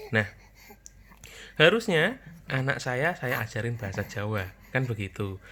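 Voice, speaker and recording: The voice carries a strong Javanese accent and lively intonation. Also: man. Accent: strong Javanese accent in Indonesian. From Java, Indonesia. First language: Javanese (speaking Indonesian). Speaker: parenting vlogger, father. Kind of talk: casual talk to camera.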